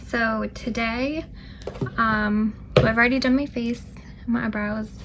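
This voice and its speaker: A woman with a fairly high voice speaks at a fairly slow pace with fairly even intonation and long, frequent pauses over noticeable background noise. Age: 20s. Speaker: beauty vlogger. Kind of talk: makeup tutorial talk to camera. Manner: casual, chatty.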